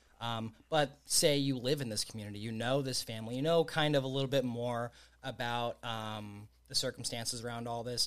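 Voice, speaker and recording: This is an ordinary speaking voice. It moves at a fairly quick pace with fairly even intonation. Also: man, medium pitch for a man. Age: 30s. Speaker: podcaster and journalist. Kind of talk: casual chat.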